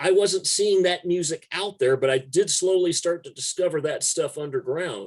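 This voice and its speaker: A man with an American accent, high-pitched, at a moderate pace with ordinary pitch variation. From Texas (Corpus Christi area). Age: 50s. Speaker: music journalist and punk musician. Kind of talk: casual interview conversation.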